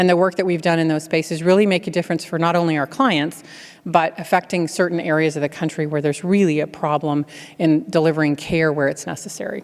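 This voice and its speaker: At a very fast pace, a woman speaks with a fairly low pitch and fairly even intonation. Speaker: keynote speaker, healthcare technology executive. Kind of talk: keynote speech with Q&A.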